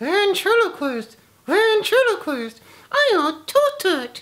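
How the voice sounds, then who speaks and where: This put-on character voice is squeaky and extremely high, swinging very widely in pitch at a fairly slow pace. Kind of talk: casual vlog chat. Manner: muffled, lips held still. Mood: playful, odd.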